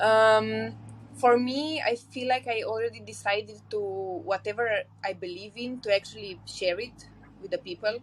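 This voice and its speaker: Speaking at a moderate pace, a woman talks with a Romanian accent. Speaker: podcast guest, polyamory podcaster. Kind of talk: casual interview conversation.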